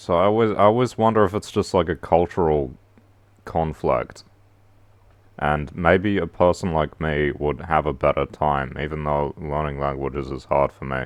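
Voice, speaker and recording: The man's pitch is very deep and low. He talks at a moderate pace with ordinary pitch variation. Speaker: streamer. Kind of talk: casual livestream monologue. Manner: halting, many fillers.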